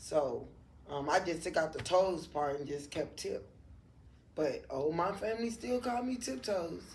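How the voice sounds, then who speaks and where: Fairly slow with long, frequent pauses, a woman with an American accent speaks in a fairly low, somewhat breathy voice, her animated tone swinging very widely in pitch amid audible room echo. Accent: New Orleans accent noticed by others. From New Orleans, Louisiana, US South. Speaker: barber. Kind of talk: casual interview chat.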